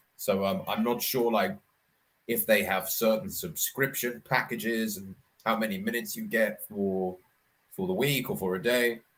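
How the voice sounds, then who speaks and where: A man speaks with a southern English accent. His intonation is lively. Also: medium pitch for a man, moderate pace. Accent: southern English received pronunciation. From Scotland, then London. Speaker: online English tutor. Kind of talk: casual chat.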